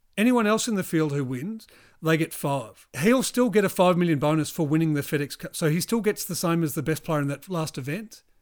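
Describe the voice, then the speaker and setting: High-pitched, lively male speech in a New Zealand accent, fairly quick with hardly any pauses, in a very clean recording with a silent background. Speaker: golf podcast co-host. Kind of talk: casual chat. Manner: animated.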